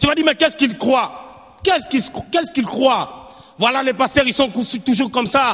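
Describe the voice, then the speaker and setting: A man with an extremely high pitch speaks in an animated tone at a moderate pace, with ordinary pitch variation and big swings in loudness. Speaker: preacher. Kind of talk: sermon.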